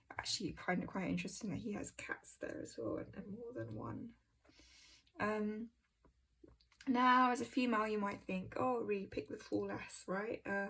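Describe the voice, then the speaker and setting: A woman speaks at a moderate pace with a British accent. Her pauses are long and frequent. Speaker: tarot content creator. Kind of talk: casual walkthrough. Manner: halting, many ums.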